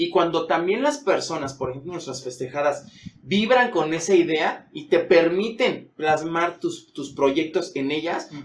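A man with a high pitch, a fairly slow pace and big swings in loudness. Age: 40s. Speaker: dancer and dance teacher. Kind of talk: interview conversation. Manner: halting, repeats words.

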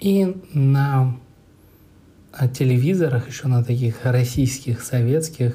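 With a dark, mellow tone and a somewhat breathy quality, a man speaks at medium pitch with fairly even intonation. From Moscow, Russia. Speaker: podcaster. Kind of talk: personal storytelling monologue. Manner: casual, hesitant.

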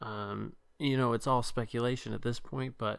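In a very clean recording with a silent background, a man speaks at a moderate pace and a medium pitch. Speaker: podcast co-host. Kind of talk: casual chat about a video game.

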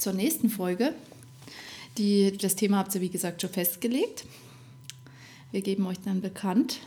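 The woman's pitch is medium with ordinary variation. She talks at a fairly slow pace, with long, frequent pauses. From Upper Bavaria (Rosenheim). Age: 30s. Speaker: podcast co-host, mother, Instagram creator. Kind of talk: casual chat.

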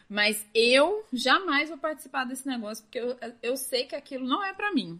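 Ordinary pitch variation runs through a woman's bright, sharp tone. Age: 20s. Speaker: podcast host. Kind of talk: casual chat.

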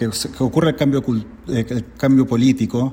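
The man's tone is dark and mellow. He talks at a fairly slow pace with fairly even intonation. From Chile. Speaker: podcast guest. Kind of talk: recorded commentary.

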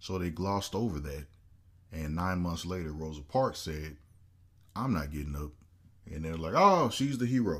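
Animated, with lively intonation, a man speaks at a very deep, low pitch and moderate pace, leaving long, frequent pauses. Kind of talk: casual chat.

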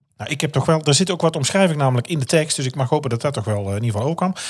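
With very wide swings in pitch, a man talks in a fairly high register. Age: 40s. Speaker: podcast host. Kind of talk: casual chat.

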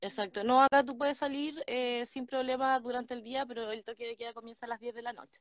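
At a very fast pace with hardly any pauses, a woman with a Chilean accent speaks in a high pitch, her intonation monotone and flat and her loudness swinging widely. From Chile, Ñuble region (Ninhue). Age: 20s. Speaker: guest on live stream. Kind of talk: casual chat.

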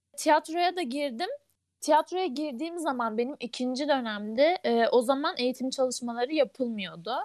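A woman talks at a moderate pace in a high pitch with lively intonation. The sound is dry and close, with no echo. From Ankara, Turkey. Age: 20s. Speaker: engineering student, theatre club member. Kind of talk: casual chat.

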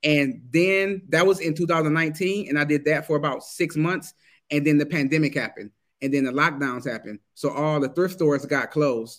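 A man with a fairly high voice and an energetic tone, at a moderate pace with ordinary pitch variation. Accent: American. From US Midwest, Detroit, Michigan. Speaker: Amazon seller and coach, army veteran. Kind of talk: interview.

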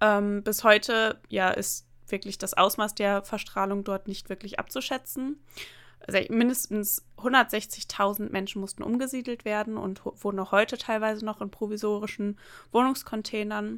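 At a moderate pace, a woman in a normal speaking voice talks with fairly high pitch and fairly even intonation in a very clean recording with a silent background. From northern Germany, near the Emsland. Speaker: podcast co-host. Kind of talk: casual chat.

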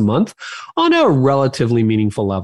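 A man with a Canadian accent, medium pitch and a plain, everyday voice, speaking at a fairly quick pace. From Canada. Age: 50s. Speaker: pastor, author and podcaster. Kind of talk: interview conversation.

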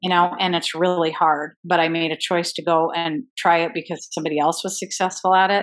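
A woman with a normal speaking voice talks at a moderate pace, her fairly low pitch held in fairly even intonation. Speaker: life coach. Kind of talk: podcast conversation.

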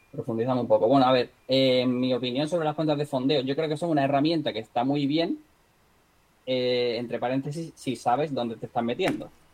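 A man's fairly quick speech, with fairly even intonation, comes through noticeable background noise. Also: medium pitch for a man. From Spain, Marbella (Málaga, Andalusia). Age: 30s. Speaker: trader and entrepreneur, former guitarist. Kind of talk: casual interview.

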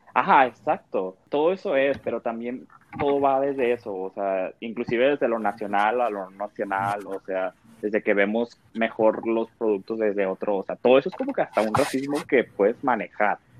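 Noticeable background noise sits behind a man speaking at a moderate pace. His pitch is medium, with ordinary variation. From Mexico. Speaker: podcast panelist. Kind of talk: casual chat.

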